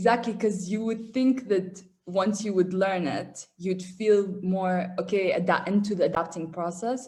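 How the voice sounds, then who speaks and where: A woman's dark, mellow, somewhat breathy voice with an Arabic accent and fairly even intonation. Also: medium pitch for a woman, fairly slow pace. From Qatar, raised by Syrian family. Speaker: engineering student abroad. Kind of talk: casual interview chat.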